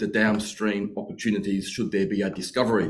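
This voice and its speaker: At a moderate pace, a man delivers his lines. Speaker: mining company executive. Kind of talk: company presentation. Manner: hesitant, many fillers. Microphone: webcam.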